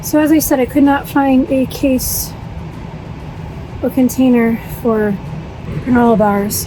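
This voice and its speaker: A woman speaks at a fairly slow pace in a high pitch, with ordinary pitch variation and long, frequent pauses. Her loudness stays very even, and noticeable background noise is present. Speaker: vlogger. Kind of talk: vlog narration. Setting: shopping and in car.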